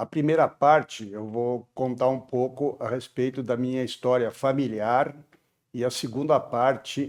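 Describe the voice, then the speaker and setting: Very slow male speech with fairly even intonation, in a very clean recording with a silent background. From southern Brazil, Porto Alegre. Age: 70s. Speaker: civil engineer. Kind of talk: personal life story testimony. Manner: hesitant, with frequent fillers.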